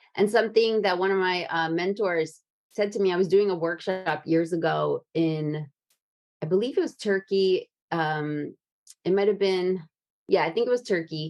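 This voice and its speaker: A woman with a normal speaking voice talks at a moderate pace and a medium pitch, with ordinary pitch variation. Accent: American. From New Jersey, Brooklyn and Japan. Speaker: podcast host. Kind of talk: casual chat.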